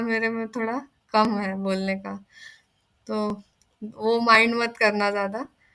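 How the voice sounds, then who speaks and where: Her tone is bright and sharp, and the woman's pitch sits fairly high. She speaks with monotone, flat intonation. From Maharashtra, India. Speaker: teaching assistant. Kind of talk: tutorial. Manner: conversational, explanatory.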